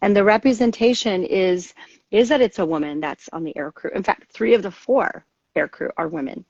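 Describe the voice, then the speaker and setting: Lively intonation and big swings in loudness at a moderate pace, in a dry, close sound with no echo. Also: woman, medium pitch for a woman. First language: Spanish. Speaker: author and military veteran. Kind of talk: interview. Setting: livestream video chat. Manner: animated.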